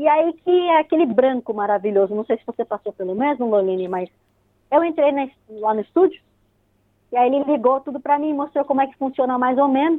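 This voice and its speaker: Speaking at a fairly quick pace in a São Paulo accent, a woman uses a high pitch, lively intonation and big swings in loudness. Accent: São Paulo Brazilian Portuguese. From Brazil, São Paulo. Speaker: radio host and pharmacist. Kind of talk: casual interview.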